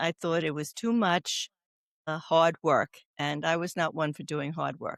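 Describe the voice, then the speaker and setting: With a Brooklyn accent, a woman speaks at a moderate pace and a fairly low pitch. The sound is dry and close with no echo. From New York. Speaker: oncology doula, nurse. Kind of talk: interview conversation. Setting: podcast.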